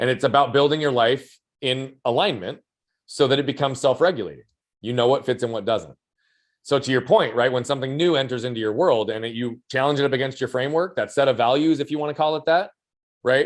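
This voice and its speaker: Against a quiet background, a man at medium pitch talks very fast with ordinary pitch variation. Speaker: human behavior and performance coach. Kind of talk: podcast interview. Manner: loud.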